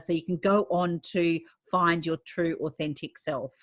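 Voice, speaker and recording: A woman's fairly low voice at a fairly slow pace, a normal speaking voice, dry and close with no echo. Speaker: podcast host. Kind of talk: podcast interview host.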